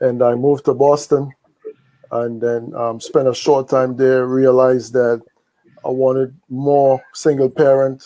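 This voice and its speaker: A man with a Trinidadian accent speaks at a fairly slow pace and medium pitch, his dark, mellow tone delivered in a monotone, flat intonation. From Trinidad and Tobago. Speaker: podcast host. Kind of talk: casual podcast conversation.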